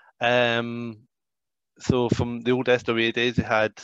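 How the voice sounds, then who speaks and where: A man at medium pitch with a Scottish accent, monotone and flat, in a dry, close sound with no echo and a quiet background. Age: 40s. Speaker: professional wrestler and trainer. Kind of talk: casual chat.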